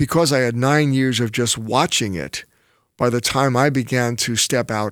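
The recording is very clean, with a silent background. The speaker has a slight New York accent. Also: man. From New York City. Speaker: pastor. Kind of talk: casual chat.

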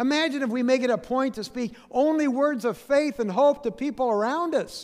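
This man's pitch is extremely high. His pitch variation is ordinary and his pace is moderate. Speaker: pastor. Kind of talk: sermon. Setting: church.

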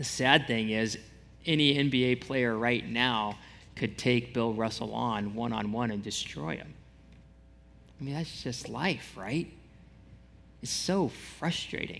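Amid audible room echo, a man speaks at a very slow pace and medium pitch, with ordinary pitch variation and long, frequent pauses. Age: 40s. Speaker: pastor. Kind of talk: sermon. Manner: casual, conversational.

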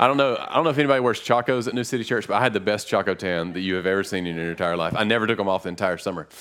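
With a Western North Carolina accent, a man rushes along at a very fast pace in a fairly low pitch, with ordinary pitch variation and hardly any pauses. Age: 30s. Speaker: pastor. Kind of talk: sermon. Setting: church.

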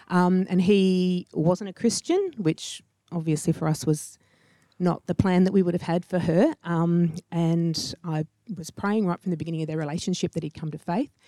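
A woman with an Australian accent speaks at a moderate pace in a fairly low pitch, her intonation fairly even and her tone dark and mellow, on a very clean recording with a silent background and a dry, close sound with no echo. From Sydney northern beaches. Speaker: HR director. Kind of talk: interview. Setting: church.

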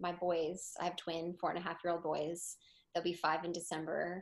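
Against a quiet background, a woman with an American accent speaks at a fairly low pitch. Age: 20s. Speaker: photographer and small business owner. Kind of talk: interview. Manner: halting.

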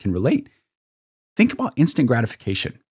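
The recording of this man is very clean, with a silent background and a dry, close sound with no echo. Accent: Midwestern American. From northern Illinois, Sauk Valley. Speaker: chiropractor. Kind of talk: casual chat.

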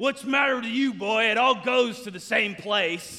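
Using a put-on character voice, a man speaks gruffly at an extremely high pitch, raised and projected, at a moderate pace. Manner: blunt, matter-of-fact.

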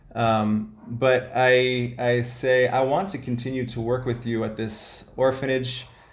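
There is audible room echo as a man talks at a medium pitch with an American accent. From US Midwest, Ohio. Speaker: missionary running a halfway house. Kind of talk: interview, personal testimony.

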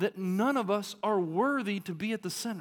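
A man speaks with a Southern US accent. His pace is moderate and his intonation lively. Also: very clean recording, silent background. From Arkansas. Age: 30s. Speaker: pastor. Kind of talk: sermon.

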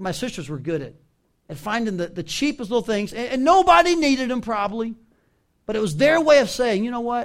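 Speaking with a Southern US accent, a man moves at a fairly quick pace. His pitch swings very widely. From US South. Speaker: pastor. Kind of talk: sermon. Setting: church.

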